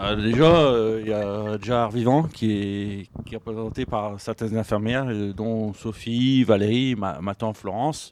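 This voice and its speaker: A man with a fairly low pitch talks at a fairly slow pace. He leaves hardly any pauses. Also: ordinary pitch variation. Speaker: psychiatric club member. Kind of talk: radio panel discussion. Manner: difficulty articulating.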